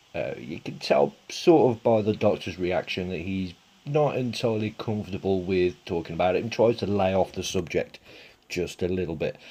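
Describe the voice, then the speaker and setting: A man's fairly low voice with a dark, mellow tone and a Birmingham accent. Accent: Brummie. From Birmingham, England. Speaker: YouTube TV reviewer. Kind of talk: casual review commentary. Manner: hesitant, many fillers.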